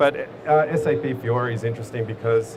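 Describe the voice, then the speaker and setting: With an Australian accent, a man speaks at a medium pitch and fairly even intonation, with audible room echo and noticeable background noise. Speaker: software company director. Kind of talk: conference presentation. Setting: stage with audience at a conference. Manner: casual, with many fillers.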